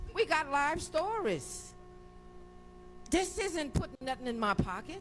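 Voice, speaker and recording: An American accent at a fairly slow pace, with music in the background. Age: 60s. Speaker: hurricane survivor testifying at hearing. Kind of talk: congressional testimony. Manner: heated, emphatic.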